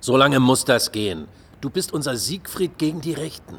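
A man's put-on character voice with medium pitch, big pitch swings, a fairly bright tone, vocal fry and a slightly husky edge. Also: moderate pace.

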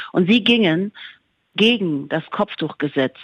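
A woman with a plain, everyday voice, fairly low in pitch, at a fairly slow pace with ordinary pitch variation. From Germany, Munich. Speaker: journalist. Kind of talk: interview.

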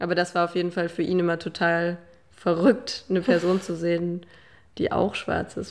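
A woman with a plain, everyday voice talks at a fairly low pitch and a moderate pace. Her intonation is fairly even, and the recording is very clean with a silent background. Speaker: daughter of the doctor. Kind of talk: interview testimony.

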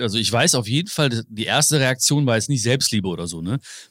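A man speaks at medium pitch with lively intonation, in a plain, everyday voice. The sound is dry and close with no echo, in a very clean recording with a silent background. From Germany, Hagen (Ruhr area). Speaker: author and motivational speaker. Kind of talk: interview conversation.

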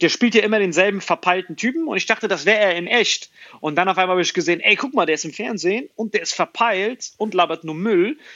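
A man talks at a very fast pace in a high voice. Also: ordinary pitch variation. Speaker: stand-up comedian. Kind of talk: casual chat. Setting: remote call from a hotel room. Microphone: poor connection quality over hotel wifi.

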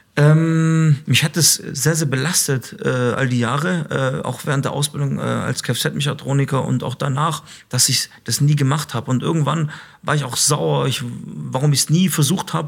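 There is noticeable background noise behind this man. His voice is fairly high-pitched, with ordinary pitch variation and a moderate pace. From Stuttgart, Germany (Kosovo-born). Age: 30s. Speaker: police officer and comedian. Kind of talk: interview.

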